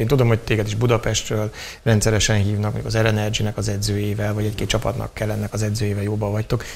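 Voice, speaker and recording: A man talks at a very fast pace. His pitch sits fairly low. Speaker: TV show host; talk show guest or host. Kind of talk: interview. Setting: studio. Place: studio. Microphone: lapel.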